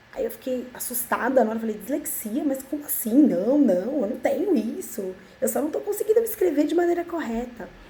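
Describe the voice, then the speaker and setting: Over noticeable background noise, a woman talks at a fairly quick pace with hardly any pauses, her high voice swinging very widely in pitch. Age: 30s. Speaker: vlogger. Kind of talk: personal testimony vlog. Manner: halting, with false starts.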